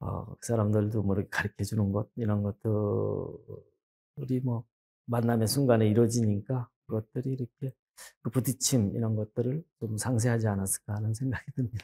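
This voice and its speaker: Here a man speaks at medium pitch with a dark, mellow, somewhat breathy tone. His pace is moderate and his intonation fairly even. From rural South Korea. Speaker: poet. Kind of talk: interview. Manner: halting, many fillers.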